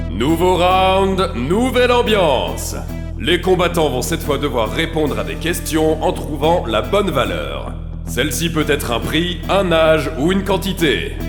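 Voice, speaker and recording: Over background music, a man speaks in an upbeat, energetic tone with a high pitch. His pace is fairly slow and his pitch variation ordinary. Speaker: voice actor. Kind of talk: game show announcer.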